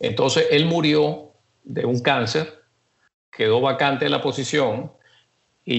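A man talks at a very slow pace with vocal fry. His pitch is medium, with ordinary variation. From Venezuela. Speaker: retired oil industry executive. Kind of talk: life story interview.

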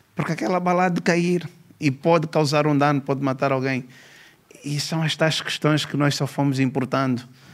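A man with an unremarkable speaking voice, fairly high in pitch, at a moderate pace with fairly even intonation. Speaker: police commissioner, law professor and author. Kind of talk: podcast interview.

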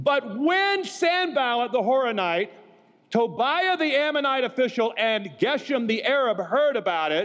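At a fairly slow pace, a man speaks in an extremely high pitch with very wide pitch swings and an animated, warm tone. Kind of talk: sermon to a live conference audience. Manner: animated, warm and humorous, calling for audience amens.

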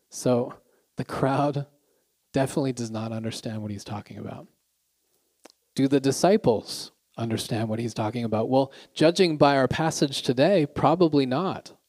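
The speaker has a Canadian accent and a moderate pace. Long pauses come often. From Canada. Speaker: pastor. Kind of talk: sermon.

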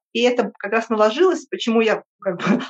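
Here a woman talks at a moderate pace in a fairly high register. She has a plain, everyday voice. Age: 50s. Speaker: podcast guest. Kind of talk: interview.

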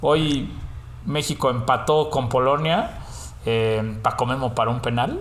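Speaking fairly slowly at a medium pitch, a man keeps very even loudness and ordinary pitch variation while audible room echo surrounds him. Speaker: podcast host. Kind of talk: casual chat.

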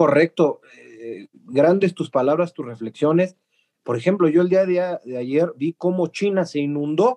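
A dark, mellow tone at a fairly slow pace, with ordinary pitch variation and a dry, close sound with no echo. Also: man, high pitch for a man. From Mexico. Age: 30s. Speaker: podcast host, historian. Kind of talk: casual interview.

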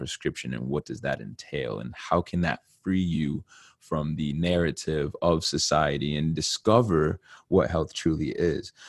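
In an American accent, a man talks at a moderate pace with a very deep, low pitch, ordinary pitch variation and vocal fry, the sound dry and close with no echo. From Connecticut. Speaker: podcast host. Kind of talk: casual monologue. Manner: animated.

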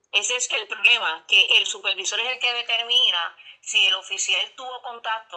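Through noticeable background noise, a woman speaks at a fairly high pitch with ordinary pitch variation. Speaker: corrections officers' union leader. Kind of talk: news interview.

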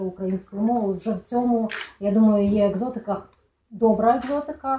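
Pitched fairly high, the woman's voice shows ordinary pitch variation. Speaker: writer moderating a book presentation. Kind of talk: moderated book event. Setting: bookstore event with live audience, no microphone. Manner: chatty.

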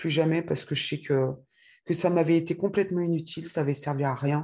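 With a very deep, low pitch and a dark, mellow tone, a woman speaks in fairly even intonation against a quiet background. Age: 40s. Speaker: testimony guest, mother. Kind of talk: testimony. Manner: halting.

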